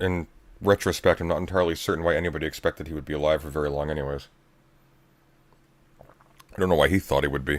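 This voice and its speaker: A man talks at a very fast pace in a very deep, low pitch with vocal fry. His intonation is fairly even, and he leaves long, frequent pauses. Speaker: livestreamer. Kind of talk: casual chat.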